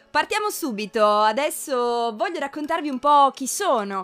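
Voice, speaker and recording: Over noticeable background noise, a woman speaks with lively intonation. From Piedmont, Italy (Cuneo). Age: 20s. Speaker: podcast host, psychology student. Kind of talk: casual monologue. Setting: home recording.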